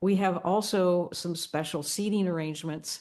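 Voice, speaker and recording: A woman speaks at a moderate pace with ordinary pitch variation over a quiet background. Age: 70s. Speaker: accessibility consultant. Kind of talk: recorded video announcement. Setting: recorded at home.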